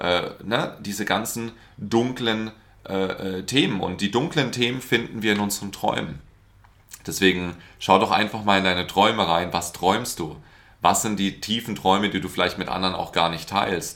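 A man speaks at a moderate pace and fairly low pitch, his pitch varying in an ordinary way. His tone is bright and sharp. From Baden, Germany (Karlsruhe). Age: 30s. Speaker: business coach. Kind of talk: casual interview chat. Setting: in a home apartment.

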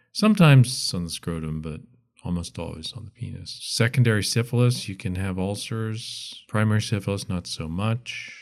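A man's fairly low voice with a calm, relaxed tone, ordinary pitch variation, moderate pace and big swings in loudness, in a very clean recording with a silent background. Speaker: retired pediatrician. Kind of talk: casual interview. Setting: studio.

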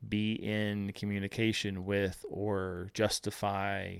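A man speaks in a fairly low pitch, the sound dry and close with no echo. The recording is very clean, with a silent background. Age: 30s. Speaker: podcast host. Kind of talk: solo monologue. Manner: halting.

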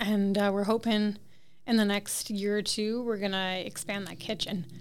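At a moderate pace, a woman with an Ontario accent speaks at a medium pitch with fairly even intonation. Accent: Canadian (Ontario). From Toronto, Canada. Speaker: cottage and restaurant owner. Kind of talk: interview. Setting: on location on a main street.

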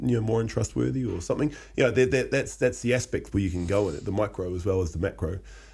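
A man with a fairly low, dark and mellow voice uses lively intonation, with vocal fry running through his speech. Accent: Australian. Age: 30s. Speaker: podcast co-host. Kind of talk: casual chat.

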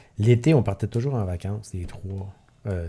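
A man's very deep, low voice, dark and mellow in tone and somewhat breathy, moves at a fairly slow pace with ordinary pitch variation. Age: 50s. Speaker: long-distance cyclist and charity event organizer. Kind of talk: casual chat.

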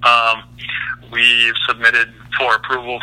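A man talks at a medium pitch. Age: 30s. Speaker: custom truck fabricator. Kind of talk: interview.

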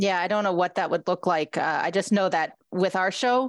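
A woman with a Canadian accent has a plain, everyday voice, fairly low in pitch with ordinary pitch variation. She talks at a moderate pace against a quiet background. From Ontario, Canada. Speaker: radio host and writer. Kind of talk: casual interview.

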